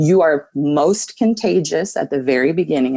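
A woman's very deep, low voice with a dark, mellow tone and lively intonation, over a quiet background. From South Dakota, Pierre; South Dakota. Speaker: nurse practitioner. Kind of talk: interview. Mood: concerned, urgent. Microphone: earbuds.

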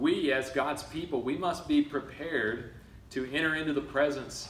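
The speaker is a man, with audible room echo. There is light background noise too. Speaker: preacher. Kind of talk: sermon. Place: church. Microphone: camera far.

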